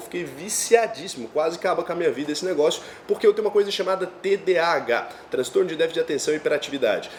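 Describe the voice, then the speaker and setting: A man speaks very fast at a high pitch, animated in tone. His pitch varies in an ordinary way, and background noise is noticeable. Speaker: finance youtuber. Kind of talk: personal storytelling monologue. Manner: casual, animated.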